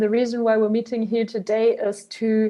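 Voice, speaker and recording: A woman speaks with a German accent at a fairly high pitch. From Germany. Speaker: biogas entrepreneur. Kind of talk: interview podcast.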